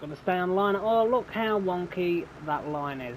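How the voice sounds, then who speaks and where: A man with a British accent speaks with lively intonation over noticeable background noise. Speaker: gaming YouTuber. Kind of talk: let's play commentary. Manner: casual, relaxed.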